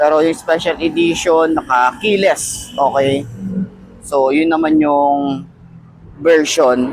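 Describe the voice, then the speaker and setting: Against noticeable background noise, a man speaks at a very slow pace and fairly high pitch, his loudness very even. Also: ordinary pitch variation. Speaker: motorcycle vlogger. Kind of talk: product review vlog. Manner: casual, conversational.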